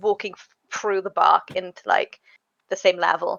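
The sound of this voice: Her tone is fairly bright. The woman speaks at a medium pitch.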